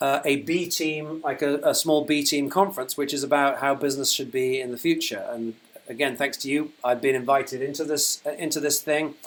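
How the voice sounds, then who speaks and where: Speaking at a fairly quick pace with hardly any pauses, a man with a British accent uses a fairly high pitch and monotone, flat intonation. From UK. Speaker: company founder. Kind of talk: livestream update. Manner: hesitant, many fillers.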